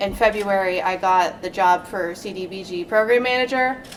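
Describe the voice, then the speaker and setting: Amid noticeable background noise, a woman speaks at a moderate pace with ordinary pitch variation. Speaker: code enforcement officer. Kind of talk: panel presentation. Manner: soft-spoken.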